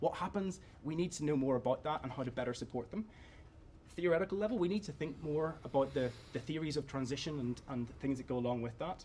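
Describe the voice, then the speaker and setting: A man speaks at a very fast pace in a fairly high, somewhat breathy voice. His pitch varies in an ordinary way. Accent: Northern Irish. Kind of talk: conference presentation.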